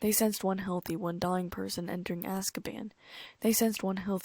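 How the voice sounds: Fairly even intonation in a natural reading voice.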